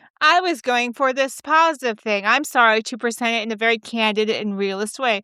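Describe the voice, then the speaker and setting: On a very clean recording with a silent background, a woman with a high pitch talks at a fairly quick pace in an animated, bright, sharp tone with lively intonation. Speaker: podcast and radio host. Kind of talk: casual monologue podcast. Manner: fast.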